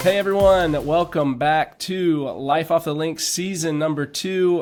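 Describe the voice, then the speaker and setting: Over music in the background, a man talks at a fairly slow pace, high in pitch for a man, with fairly even intonation. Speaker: podcast host. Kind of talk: podcast interview questions.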